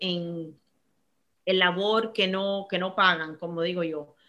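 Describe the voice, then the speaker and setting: In a very clean recording with a silent background, a woman speaks in a bright, sharp tone with monotone, flat intonation. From Miami, US (born in Cuba). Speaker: banking executive. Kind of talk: interview. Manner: halting, frequent fillers and repetitions.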